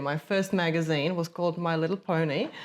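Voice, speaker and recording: A woman with a Czech accent, a fairly low pitch, fairly even intonation and a very fast pace. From Czech Republic, Prague. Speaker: agency founder, former journalist. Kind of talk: interview conversation.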